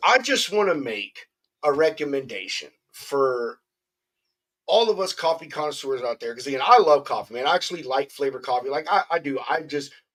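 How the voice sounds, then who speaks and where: A man with a fairly high pitch, lively intonation, and a fairly quick pace. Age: 30s. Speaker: podcast host. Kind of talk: casual chat. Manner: animated.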